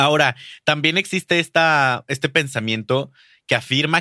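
In a Mexican accent, a man speaks fairly slowly with a bright, sharp tone and ordinary pitch variation, in a dry, close recording that is very clean with a silent background. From Mexico, Durango. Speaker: podcast host and booktuber. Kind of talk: casual interview chat.

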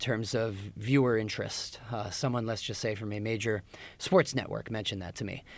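With a plain, everyday voice and ordinary pitch variation, this man speaks at a moderate pace. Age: 20s. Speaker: finance and sports reporter. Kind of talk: casual chat.

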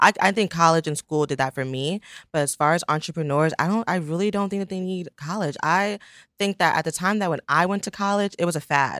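Recorded very cleanly against a silent background, a woman's fairly low voice comes through dry and close with no echo, moving at a fairly quick pace with ordinary pitch variation. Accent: American. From Pennsylvania, Poconos. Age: 20s. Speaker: fashion entrepreneur. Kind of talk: interview.

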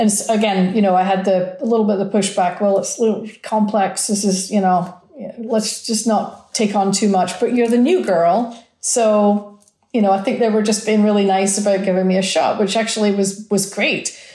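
A woman's medium-pitched voice with an American accent, flat and monotone, at a moderate pace with hardly any pauses, in a room with audible echo. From rural Scotland. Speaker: chief marketing officer. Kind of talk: interview. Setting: on location in the desert.

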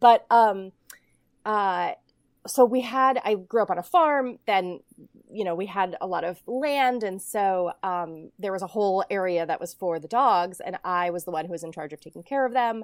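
An ordinary speaking voice at a moderate pace, with big swings in loudness and ordinary pitch variation, on a very clean recording with a silent background. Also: woman, medium pitch for a woman. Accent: American. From Ohio, US Midwest. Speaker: film director. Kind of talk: interview.

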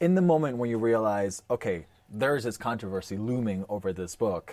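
At a fairly quick pace, a man with a plain, everyday voice talks at a fairly low pitch. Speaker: podcast host. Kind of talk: interview conversation.

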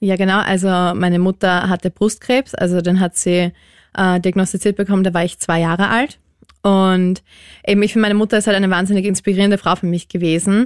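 A woman at medium pitch speaks at a fairly quick pace with monotone, flat intonation and very even loudness. The sound is dry and close with no echo, in a very clean recording with a silent background. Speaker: listener sharing grief story. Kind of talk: personal testimony.

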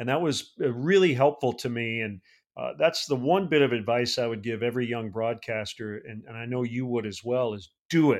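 With a normal speaking voice, a man with an American accent talks at a fairly quick pace and medium pitch, his pitch varying in an ordinary way and his loudness swinging widely, in a very clean recording with a silent background. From US Midwest, mid-Michigan. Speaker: baseball play-by-play broadcaster. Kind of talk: casual interview.

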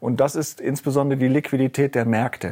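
In a very clean recording with a silent background, a man speaks at a fairly high pitch with a dry, close sound and no echo. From Rhineland, Germany. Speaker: investment fund executive. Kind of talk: interview. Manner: halting.

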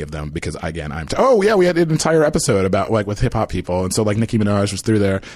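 Very fast and lively in intonation, a man speaks with an American accent. His pitch is fairly low. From suburban Philadelphia, US. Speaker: comedy writer. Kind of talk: casual chat.

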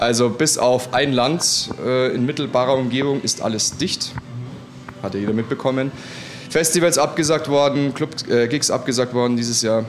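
A man speaks at a moderate pace with fairly even intonation and a medium pitch. Noticeable background noise runs underneath. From Munich, Bavaria. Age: 30s. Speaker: DJ and music producer. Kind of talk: casual interview. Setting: restaurant.

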